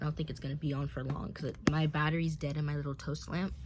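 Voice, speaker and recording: Over noticeable background noise, a woman speaks at a very deep, low pitch with monotone, flat intonation. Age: young. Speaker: YouTuber. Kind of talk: casual talk to camera. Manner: rambling, filler-heavy.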